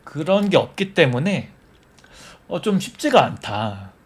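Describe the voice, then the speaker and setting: Pitch swings very widely throughout. There is a somewhat breathy quality to the voice. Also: man. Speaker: hobby YouTuber and software developer. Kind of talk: casual live-stream chat. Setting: live stream. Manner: halting, many fillers and repetitions.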